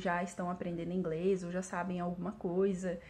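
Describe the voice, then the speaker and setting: A woman talks at a medium pitch. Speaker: English teacher. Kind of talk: vlog monologue. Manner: hesitant with fillers.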